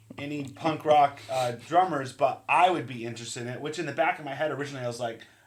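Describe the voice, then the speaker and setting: Hardly pausing, the speaker rushes at a very fast pace with fairly even intonation and big swings in loudness over noticeable background noise. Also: man, fairly high pitch for a man. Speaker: podcast co-host and musician. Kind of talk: casual chat.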